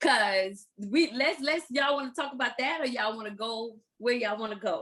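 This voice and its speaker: A woman with an American accent speaks at a high pitch and a moderate pace, her pitch varying in an ordinary way. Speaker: podcast co-host. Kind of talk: casual chat.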